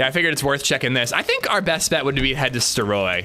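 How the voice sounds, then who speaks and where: Against noticeable background noise, a man talks at a fairly quick pace in a medium pitch with very wide pitch swings. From US Pennsylvania. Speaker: gaming streamer. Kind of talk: casual chat.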